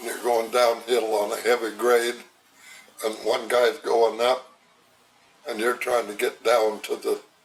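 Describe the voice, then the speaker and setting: Here a man talks at a fairly slow pace with monotone, flat intonation and long, frequent pauses. There is noticeable background noise. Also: medium pitch for a man. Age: 90s. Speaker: retired railroad worker. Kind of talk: oral history interview.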